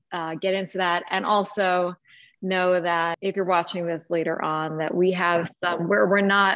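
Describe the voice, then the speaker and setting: A woman at a moderate pace with ordinary pitch variation, over a quiet background. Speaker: book club host. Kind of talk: casual discussion intro. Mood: cheerful, laughing often. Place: home room. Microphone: video call.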